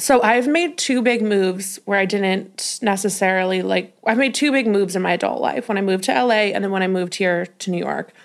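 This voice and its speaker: On a very clean recording with a silent background, a woman with an American accent speaks in an unremarkable speaking voice at a medium pitch with ordinary pitch variation, a fairly quick pace and hardly any pauses. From Colorado, Denver. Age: 20s. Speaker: podcast host and curve model. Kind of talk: casual chat.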